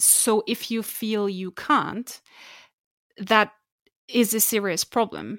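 A woman with a German accent speaks very slowly at a fairly high pitch, her intonation fairly even and broken by long, frequent pauses, in a dry, close sound with no echo. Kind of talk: casual chat. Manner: laughs often.

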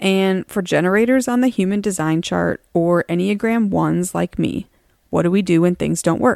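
A woman in a normal speaking voice talks at a medium pitch and moderate pace with ordinary pitch variation, the sound dry and close with no echo in a very clean recording with a silent background. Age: 40s. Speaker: podcast host, marketing professional and mother. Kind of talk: solo podcast monologue. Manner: earnest, personal.

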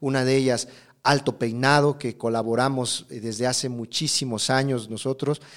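Monotone and flat in intonation, a man with a medium pitch talks at a moderate pace. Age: 40s. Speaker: hairdresser and educator. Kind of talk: interview.

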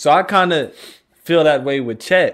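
A man with an American accent speaks at a moderate pace in a normal speaking voice, with ordinary pitch variation. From Texas, Austin. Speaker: podcast host, former athlete. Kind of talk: casual chat.

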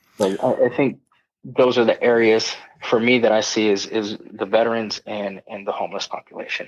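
A man with an American accent has an unremarkable speaking voice. His pitch sits in the medium range, and his intonation is fairly even. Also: moderate pace. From Southern California. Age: 30s. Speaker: army veteran. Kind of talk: casual interview.

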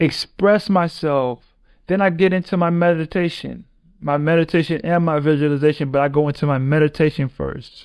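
Against a quiet background, a man with an ordinary speaking voice talks at a moderate pace and fairly high pitch, his intonation fairly even. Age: 30s. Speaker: podcast host and professional basketball player. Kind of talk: motivational monologue.

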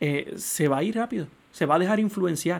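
Pitched high, a man speaks at a moderate pace, the pitch moving with ordinary variation. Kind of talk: solo podcast commentary on religious news.

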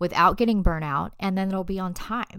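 At a moderate pace, a woman speaks in an ordinary speaking voice with medium pitch, recorded very cleanly with a silent background. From US South, North Carolina. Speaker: podcast host, clinical research associate. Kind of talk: solo podcast tutorial.

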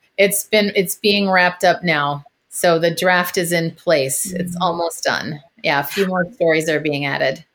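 A woman with an American accent has a normal speaking voice, fairly low in pitch. She talks at a moderate pace with fairly even intonation. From US Midwest, Minneapolis. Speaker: voice and confidence coach. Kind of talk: casual interview chat.

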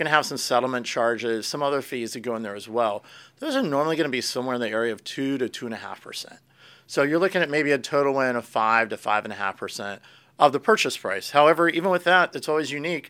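In a very clean recording with a silent background, a man with an American accent talks very fast in a fairly high voice, bright and sharp in tone, with ordinary pitch variation. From Florida and Pennsylvania, US. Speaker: real estate agent. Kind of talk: casual interview chat.

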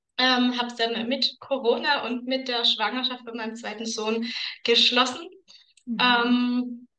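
A woman speaks at a very slow pace with a high pitch. Her intonation is monotone and flat. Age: 30s. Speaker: aromatherapy consultant. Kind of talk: casual interview chat.

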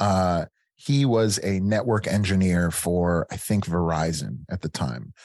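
Dry and close with no echo, the recording carries a man speaking with an American accent. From Chicago suburbs, Illinois. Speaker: army veteran. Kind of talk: interview storytelling. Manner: halting, many fillers.

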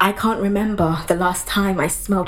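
Over noticeable background noise, a woman with a medium-pitched voice speaks at a moderate pace in a monotone, flat intonation. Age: 20s. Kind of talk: spoken word poetry performance.

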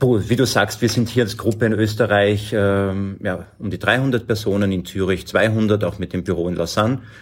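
At a moderate pace and with hardly any pauses, a normal speaking voice carries fairly even intonation. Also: man, fairly low pitch for a man. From Lower Austria. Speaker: agency managing director. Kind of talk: interview.

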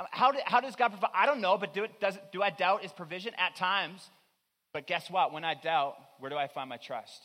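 A man speaks in a raised, projected voice with a bright, sharp tone and a high pitch. His intonation is lively and his pace fairly quick. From Newfoundland, Canada. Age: 30s. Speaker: pastor. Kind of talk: sermon.

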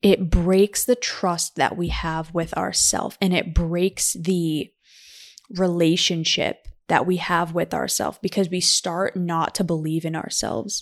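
In a plain, everyday voice, a woman speaks at a fairly slow pace with fairly low pitch and fairly even intonation, on a very clean recording with a silent background. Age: 20s. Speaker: podcast co-host. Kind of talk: casual chat.

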